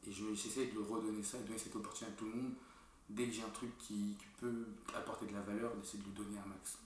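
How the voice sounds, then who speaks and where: Over noticeable background noise and audible room echo, a man talks at a very fast pace in a fairly low, monotone voice with flat intonation. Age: 20s. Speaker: entrepreneur. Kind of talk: casual chat.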